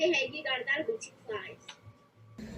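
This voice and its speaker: A put-on character voice at a high pitch speaks at a fairly slow pace, with clear music in the background. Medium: stage play. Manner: brisk, casual street-hawker patter.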